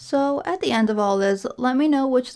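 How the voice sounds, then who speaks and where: The recording is very clean, its background silent. A woman talks at a moderate pace, her pitch varying in an ordinary way. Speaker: podcaster. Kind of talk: casual podcast-style review. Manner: rambling, hesitant.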